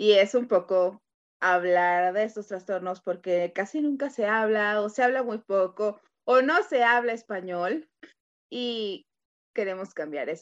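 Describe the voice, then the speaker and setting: Her voice unremarkable and medium in pitch, a woman talks at a fairly slow pace with ordinary pitch variation. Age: 30s. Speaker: podcast co-host. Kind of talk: casual chat.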